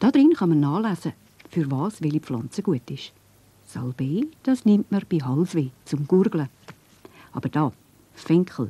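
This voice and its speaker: In a Swiss accent, a woman with a very deep, low pitch and a somewhat breathy voice speaks at a fairly slow pace with very wide pitch swings, the sound dry and close with no echo. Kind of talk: children's cartoon narration. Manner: friendly, explanatory.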